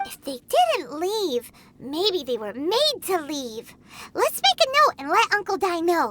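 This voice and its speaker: A put-on character voice at an extremely high pitch, fairly slow, with very wide pitch swings. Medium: video game. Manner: lively, exclamatory.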